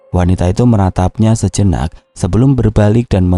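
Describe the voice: Plain reading aloud, with ordinary pitch variation throughout.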